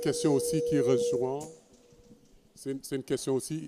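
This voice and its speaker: This man has a dark, mellow tone and a fairly high pitch. He talks at a fairly quick pace with ordinary pitch variation. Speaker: historian. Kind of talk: panel discussion. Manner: halting, many repetitions.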